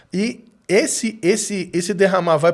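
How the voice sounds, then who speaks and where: A man speaks in a high-pitched voice. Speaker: preacher. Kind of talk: casual chat.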